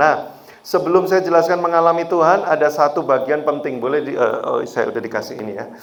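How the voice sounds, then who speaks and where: There's audible room echo as a man talks at a very fast pace. He has a strong Javanese accent. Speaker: guest preacher. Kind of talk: sermon. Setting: church. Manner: animated.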